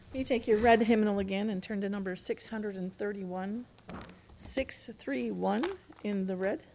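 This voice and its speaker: The speaker talks at a very slow pace with ordinary pitch variation over noticeable background noise. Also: woman, medium pitch for a woman. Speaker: church worship leader. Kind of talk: church announcements. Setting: church.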